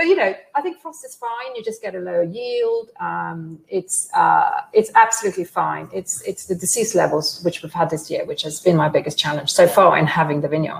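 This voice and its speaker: A woman with a Norwegian accent at a moderate pace, hardly any pauses, and noticeable background noise behind her. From Norway, west coast. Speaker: organic winemaker and vineyard founder. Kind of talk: interview conversation. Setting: online event, video call.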